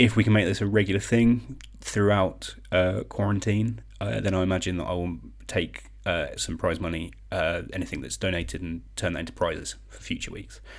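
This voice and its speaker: Spoken with a British accent, this voice has lively intonation and vocal fry at a moderate pace. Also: man, very deep, low pitch for a man. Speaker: online quiz host. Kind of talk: live-stream quiz hosting. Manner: casual, chatty.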